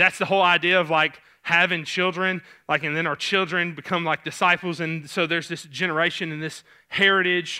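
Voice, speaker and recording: A man speaks with a Southern US accent at a moderate pace. His high-pitched voice has a bright, sharp tone and monotone, flat intonation. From Tennessee (Clarksville). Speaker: pastor. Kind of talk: sermon. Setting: church. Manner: casual, halting with fillers.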